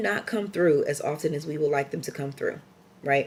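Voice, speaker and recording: This woman has a very deep, low pitch. She talks at a fairly quick pace with ordinary pitch variation. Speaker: vlogger. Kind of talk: casual chat.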